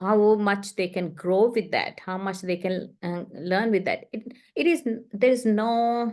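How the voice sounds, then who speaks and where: Speaking fairly slowly with hardly any pauses, a woman has a non-native accent. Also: medium pitch for a woman, ordinary pitch variation, quiet background. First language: not English. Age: 60s. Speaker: author and ghostwriter. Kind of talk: interview. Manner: halting.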